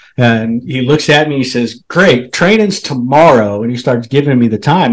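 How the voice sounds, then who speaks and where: With a US Midwestern accent, a man talks at a moderate pace. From Nebraska, US Midwest. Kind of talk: casual storytelling interview.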